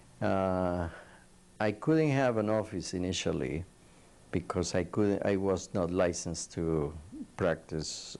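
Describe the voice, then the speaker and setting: A man with a very deep, low voice talks very slowly, leaving long, frequent pauses. His intonation stays lively throughout. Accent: non-native. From Colombia. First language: Spanish. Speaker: psychiatrist. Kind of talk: oral history interview. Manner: halting.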